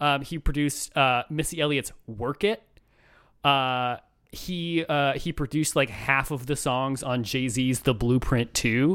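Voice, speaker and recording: A man with an ordinary speaking voice and an American accent, at fairly high pitch with ordinary pitch variation and a fairly slow pace, on a very clean recording with a silent background. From Chicago. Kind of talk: casual chat.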